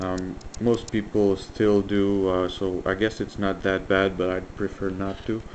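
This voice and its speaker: A man with a slight French Canadian accent talks at a fairly low pitch in a monotone, flat way. Noticeable background noise sits behind him. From French Canada. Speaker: electronics hobbyist. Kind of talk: tutorial. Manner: hesitant, many fillers.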